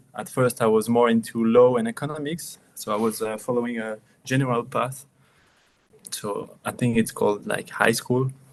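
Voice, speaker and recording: A man talks with a French accent. His pace is moderate. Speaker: watchmaker and brand founder. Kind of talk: casual interview.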